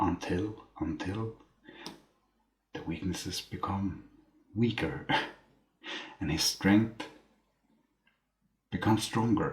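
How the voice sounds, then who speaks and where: Long, frequent pauses break up a man's very slow delivery. His pitch is fairly low, with ordinary pitch variation. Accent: non-native. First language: not English. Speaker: book reviewer. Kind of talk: casual monologue. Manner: halting.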